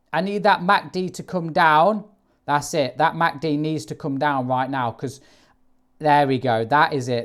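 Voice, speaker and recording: A loud man's voice in an animated tone, with lively intonation at a fairly slow pace. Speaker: forex trader. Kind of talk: live trading commentary.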